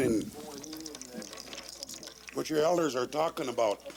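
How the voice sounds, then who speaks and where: There is noticeable background noise around this man. He speaks in an American accent at a fairly high pitch. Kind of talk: speech at a traditional meeting circle. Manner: earnest, impassioned.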